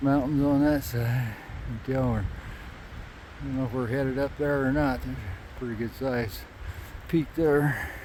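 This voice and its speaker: Amid noticeable background noise and audible room echo, a man speaks in a relaxed tone at a fairly slow pace with fairly even intonation. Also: medium pitch for a man. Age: 60s. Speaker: hiking vlogger. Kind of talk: casual vlog narration. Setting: outdoors on a mountain trail. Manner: relaxed, hesitant with fillers.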